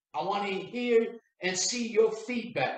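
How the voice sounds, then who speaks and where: The man speaks with a high pitch. Audible room echo surrounds the voice. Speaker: sales coach. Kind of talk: motivational talk to camera. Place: home room.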